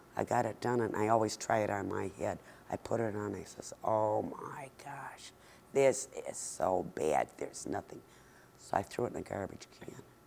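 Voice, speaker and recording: A woman's whisper in an American accent, with big swings in loudness. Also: moderate pace. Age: 70s. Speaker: hat maker. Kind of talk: interview.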